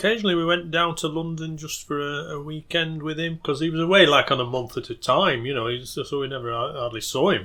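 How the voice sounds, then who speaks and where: A man's fairly high-pitched voice with a Lancashire accent, at a very fast pace with hardly any pauses and ordinary pitch variation. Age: 60s. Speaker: folk musician and local historian. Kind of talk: interview. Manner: halting.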